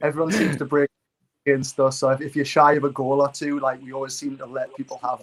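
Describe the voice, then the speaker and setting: Talking at a very fast pace with a Geordie accent, a man uses a fairly high, monotone voice with flat intonation and big swings in loudness. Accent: Geordie (Newcastle). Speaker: fantasy football content creator. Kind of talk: casual chat. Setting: livestream.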